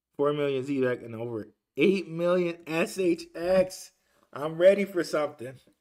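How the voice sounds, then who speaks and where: A man with an ordinary speaking voice talks at a moderate pace in a fairly high pitch, with ordinary pitch variation and big swings in loudness. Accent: American. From Detroit, US. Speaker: crypto YouTuber. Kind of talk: livestream reaction, reading chat. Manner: casual, filler-heavy.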